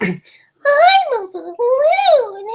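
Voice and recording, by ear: In a put-on character voice, the speaker uses an extremely high pitch.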